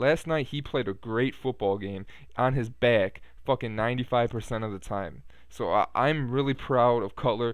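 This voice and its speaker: Against a quiet background with a dry sound and no echo, a man speaks at a fairly slow pace with ordinary pitch variation. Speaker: Bears fan video blogger. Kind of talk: angry sports rant, venting about a Bears loss with heavy profanity, aimed at the camera. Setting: home computer with headset mic, recorded video. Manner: rambling, filler-heavy ('uh', 'um'), casual. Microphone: webcam.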